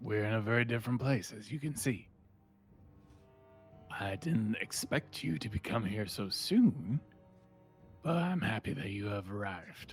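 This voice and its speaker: Doing a put-on character voice, a man speaks in a raspy, medium-pitched tone at a moderate pace, with lively intonation and long, frequent pauses, as faint music plays in the background. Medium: actual play. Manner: hesitant, stammering.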